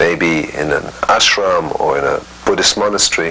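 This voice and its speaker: A man speaks in a very deep, low voice with ordinary pitch variation over noticeable background noise. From Egypt, then boarding schools in England. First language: French. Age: 60s. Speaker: interviewee telling life story. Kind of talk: interview testimony. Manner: hesitant, many fillers.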